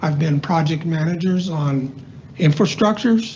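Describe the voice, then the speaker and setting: Over noticeable background noise and audible room echo, a man with a fairly high voice talks at a moderate pace with ordinary pitch variation. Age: 70s. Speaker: member of the public giving comment, retired military project manager. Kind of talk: public comment at council meeting. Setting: county commission meeting room.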